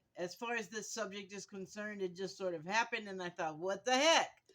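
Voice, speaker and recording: A woman shouting. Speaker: vlogger. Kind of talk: casual vlog while cooking. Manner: loud, yelling.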